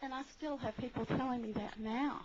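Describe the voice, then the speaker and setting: Noticeable background noise sits behind a woman speaking fairly quickly in a high voice with fairly even intonation and an American accent. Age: 70s. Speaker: audience member asking a question. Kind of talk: audience question at a panel.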